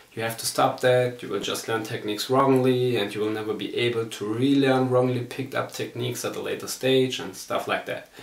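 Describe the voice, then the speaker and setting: A man with a German accent talks at a moderate pace and a medium pitch. Audible room echo and noticeable background noise surround him. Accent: German accent, non-native English. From Germany. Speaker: martial arts instructor. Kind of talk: personal testimony.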